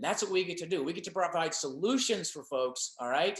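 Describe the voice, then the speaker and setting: A man talks in an animated tone at a fairly quick pace. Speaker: direct sales business leader. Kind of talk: sales presentation webinar. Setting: webinar. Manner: fast.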